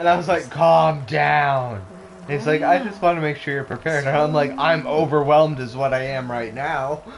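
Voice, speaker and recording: A man with a fairly high pitch speaks at a moderate pace with ordinary pitch variation, and audible room echo surrounds his voice. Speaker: gaming streamer. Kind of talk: casual chat during let's play stream. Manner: slurring and misspeaking; animated storytelling.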